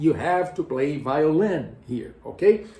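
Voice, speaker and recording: Against noticeable background noise, a man speaks at a very slow pace with lively intonation. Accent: Portuguese. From Brazil. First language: Portuguese. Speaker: music educator, tenor and conductor. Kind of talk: educational explainer. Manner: halting, with repetitions and fillers.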